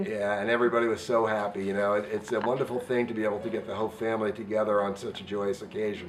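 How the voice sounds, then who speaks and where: A man with a fairly low pitch talks at a very fast pace with hardly any pauses, in a monotone, flat intonation. Noticeable background noise runs underneath. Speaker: interviewer. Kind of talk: casual interview questions.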